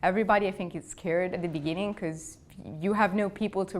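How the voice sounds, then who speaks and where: Very fast and with fairly even intonation, a woman speaks in a fairly low voice. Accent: Italian. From Italy. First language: Italian. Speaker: university student. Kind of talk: interview.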